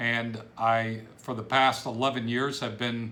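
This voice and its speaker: Audible room echo surrounds a man with an American accent and a medium pitch. His tone is bright and sharp, his intonation fairly even. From Ohio, Cleveland area. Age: 60s. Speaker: business coach. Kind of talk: self-introduction video. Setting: home office.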